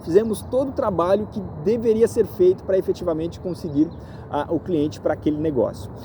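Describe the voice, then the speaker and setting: With lively intonation, a man talks at a fairly quick pace in a high voice. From Brazil. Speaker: real estate agent. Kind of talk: vlog monologue. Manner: halting, many fillers.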